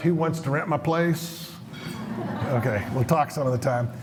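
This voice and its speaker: A man's fairly high, animated voice with an American accent, lively intonation and a fairly quick pace, over noticeable background noise and audible room echo. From Colorado (Montrose). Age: 70s. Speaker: economist, keynote speaker. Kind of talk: conference talk to live audience. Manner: animated, conversational with audience questions.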